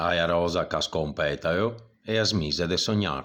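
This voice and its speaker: Speaking fairly slowly in a very deep, low pitch, a man with a Venetian accent uses ordinary pitch variation. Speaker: voice actor. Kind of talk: poetry reading.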